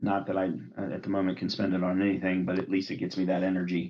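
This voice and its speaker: At a fairly quick pace, a man talks in a very deep, low voice. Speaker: commander card game player. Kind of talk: casual chat while playing a card game over video call. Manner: loud.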